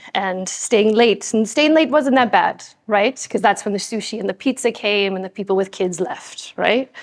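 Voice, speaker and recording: At a medium pitch, a woman speaks with ordinary pitch variation. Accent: American. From United States. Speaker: scientist and speaker. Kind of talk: conference talk. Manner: animated.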